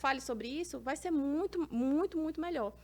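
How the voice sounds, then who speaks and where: A woman talks at a fairly quick pace with lively intonation in a very clean recording with a silent background. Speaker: podcast host and AI instructor. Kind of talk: educational podcast chat. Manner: fast.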